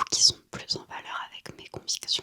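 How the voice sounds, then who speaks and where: Whispering at a fairly slow pace, a woman is heard through noticeable background noise. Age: 20s. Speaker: ASMR creator. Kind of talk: ASMR gift show-and-tell. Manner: whispered.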